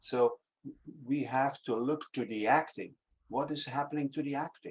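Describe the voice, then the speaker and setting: A man with a Dutch accent at a moderate pace. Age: 60s. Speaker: acting teacher. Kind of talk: interview conversation. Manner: halting.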